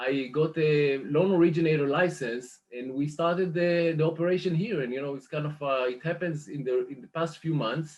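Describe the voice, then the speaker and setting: A man with an Israeli accent speaks at a moderate pace with hardly any pauses, his fairly high voice showing ordinary pitch variation. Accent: Israeli accent, still noticeable. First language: Hebrew. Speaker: mortgage lender business manager. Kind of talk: interview. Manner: hesitant, many fillers.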